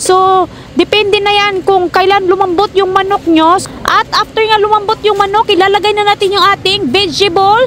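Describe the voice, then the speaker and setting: Shouting in a Visayan accent, a woman holds an extremely high pitch with very even loudness and fairly even intonation against noticeable background noise. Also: moderate pace. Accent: Bisaya. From Visayas, Philippines. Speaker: cooking vlogger, mother. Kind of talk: cooking vlog. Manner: loud, almost shouting; fierce-sounding.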